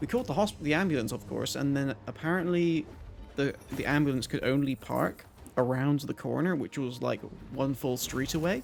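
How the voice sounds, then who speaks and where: Ordinary pitch variation marks speech delivered at a moderate pace. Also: man, fairly high pitch for a man. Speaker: game streamer. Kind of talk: live gameplay commentary. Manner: trips over words.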